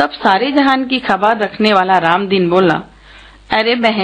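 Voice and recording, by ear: Here a text is being read aloud in a natural voice.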